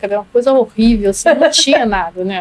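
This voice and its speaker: The woman has a high pitch and talks at a fairly quick pace. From Rio de Janeiro, Brazil. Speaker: public health professor. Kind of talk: podcast interview answer.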